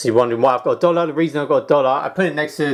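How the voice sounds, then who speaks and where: A man with a British accent, in a very clean recording with a silent background. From UK. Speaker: self-help vlogger. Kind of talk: casual tutorial.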